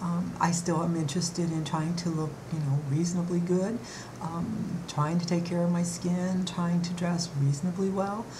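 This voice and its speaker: A woman speaks at a fairly low pitch and moderate pace, monotone and flat, her loudness very even. Audible room echo and noticeable background noise fill the recording. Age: 60s. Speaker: beauty vlogger. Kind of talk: vlog monologue. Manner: halting, many fillers.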